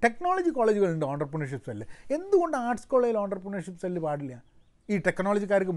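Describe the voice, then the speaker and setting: The background is quiet. The voice makes very wide pitch swings. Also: man. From Kerala. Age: 40s. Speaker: entrepreneur and commentator; vlogger on education. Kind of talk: solo commentary monologue; casual vlog chat. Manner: halting, with frequent restarts. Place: garden. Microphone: phone near.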